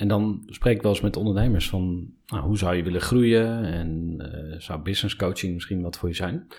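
The speech moves at a moderate pace, with ordinary pitch variation. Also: man, very deep, low pitch for a man. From eastern Netherlands, Overijssel. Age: 30s. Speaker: podcast host. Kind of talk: interview. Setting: studio.

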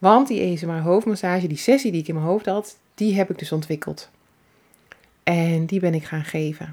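Talking at a moderate pace, a woman with an unremarkable speaking voice keeps a fairly low pitch and ordinary pitch variation. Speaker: salon owner and entrepreneur. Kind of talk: personal storytelling monologue. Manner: warm, relaxed.

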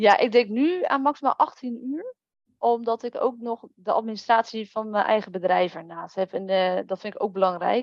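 A woman has an unremarkable speaking voice with a fairly high pitch. She speaks at a moderate pace with ordinary pitch variation. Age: 30s. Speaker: virtual assistant. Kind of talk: interview.

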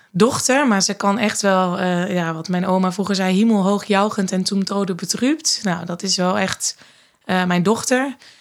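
A woman speaks at a fairly slow pace, medium pitch and ordinary pitch variation. The recording is very clean, with a silent background. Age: 30s. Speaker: mother, manager. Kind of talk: casual chat. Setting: studio, at a table. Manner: hesitant with fillers.

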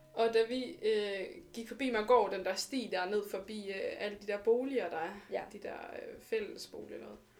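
A woman with a fairly high pitch speaks at a fairly slow pace with hardly any pauses, ordinary pitch variation and big swings in loudness, over noticeable background noise. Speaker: podcast co-host. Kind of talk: casual chat.

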